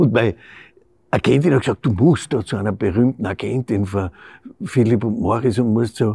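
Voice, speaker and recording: Somewhat breathy medium-pitched male voice with a Styrian accent, moderate pace with long, frequent pauses, ordinary pitch variation, and a dry sound with no echo over a quiet background. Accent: Styrian Austrian. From Styria, Austria. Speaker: actor. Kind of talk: interview answer. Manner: casual, anecdotal. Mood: amused storytelling. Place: stage.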